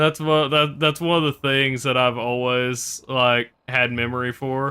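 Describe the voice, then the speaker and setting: With a slight Southern US accent, a man speaks at a fairly slow pace in a medium pitch with monotone, flat intonation. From US South. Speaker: video game streamer. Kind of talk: casual live stream chat. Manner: halting, many fillers.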